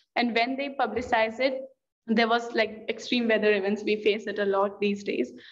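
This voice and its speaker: With audible room echo, a woman with a fairly high voice speaks at a moderate pace in a monotone, flat intonation. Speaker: green party representative. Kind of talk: panel talk. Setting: conference panel. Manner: halting, many repetitions.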